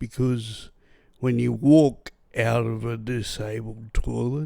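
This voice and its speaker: A man with an Australian accent and a dark, mellow tone speaks at a very slow pace, with medium pitch and fairly even intonation. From Australia, New South Wales. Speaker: podcast host, brain injury survivor. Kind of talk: personal testimony. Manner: impaired speech after brain injury.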